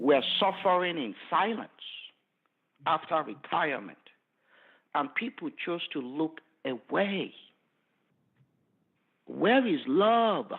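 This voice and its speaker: In a Nigerian accent, a man speaks at a high pitch and a very slow pace, with very wide pitch swings and long, frequent pauses. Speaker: forensic pathologist. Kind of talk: interview answer.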